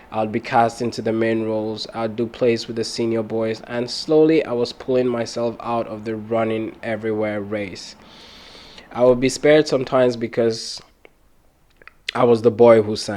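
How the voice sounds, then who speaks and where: Flat and monotone, a man at medium pitch speaks at a moderate pace. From Cameroon. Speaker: podcast host. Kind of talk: personal storytelling.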